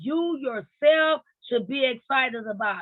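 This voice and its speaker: A woman's pitch swings very widely as she speaks at a moderate pace. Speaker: motivational podcast host. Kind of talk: motivational talk. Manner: animated.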